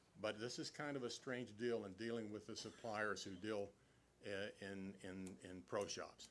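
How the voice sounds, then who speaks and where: There is audible room echo as a man talks in a fairly low pitch with fairly even intonation. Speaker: meeting attendee speaking at city council. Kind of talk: public meeting discussion. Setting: city council meeting hall, speaking at a mic. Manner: loud; halting, many repetitions.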